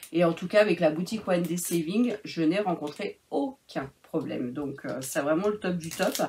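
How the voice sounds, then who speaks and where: Her intonation lively and her voice somewhat breathy, a woman talks at a moderate pace. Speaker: crafting YouTuber. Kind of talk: product review vlog. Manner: hesitant, many fillers.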